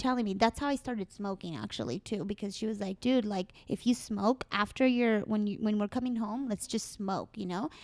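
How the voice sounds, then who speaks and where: A woman with a plain, everyday voice and fairly high pitch talks at a fairly quick pace with hardly any pauses, in a dry, close sound with no echo. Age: 30s. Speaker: marijuana industry worker. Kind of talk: casual chat. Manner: casual, profane.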